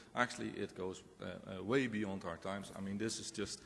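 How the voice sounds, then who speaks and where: In a Dutch accent, a man with a fairly low pitch talks at a moderate pace amid audible room echo. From Netherlands. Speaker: professor. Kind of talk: conference presentation.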